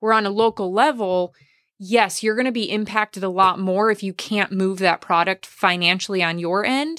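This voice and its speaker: An ordinary speaking voice, a woman with an American accent talks at medium pitch and a moderate pace with ordinary pitch variation, in a very clean recording with a silent background and a dry, close sound with no echo. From Wisconsin. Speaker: podcast host. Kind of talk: casual interview.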